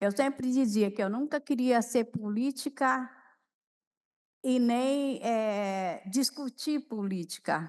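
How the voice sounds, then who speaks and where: A high-pitched woman's voice at a very slow pace, with very even loudness. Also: ordinary pitch variation. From Brazil, coastal São Paulo state (Peruíbe). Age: 70s. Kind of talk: talk at a lecture panel, personal story.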